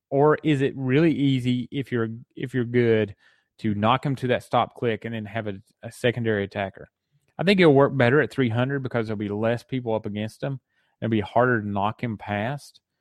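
Against a quiet background with a dry, close sound and no echo, a man with a Southern US accent talks fairly quickly at medium pitch with ordinary pitch variation. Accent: Southern twang. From Tennessee, US South. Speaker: podcast host. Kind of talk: casual solo podcast talk.

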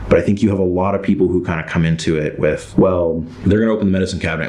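A man speaks at a very fast pace with a very deep, low pitch. Noticeable background noise and audible room echo are present. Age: 30s. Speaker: screenwriter. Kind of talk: interview. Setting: studio.

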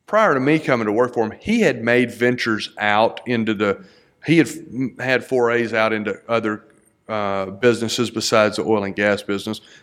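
A man with a Texan accent speaks at a moderate pace. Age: 40s. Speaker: entrepreneur. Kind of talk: casual chat.

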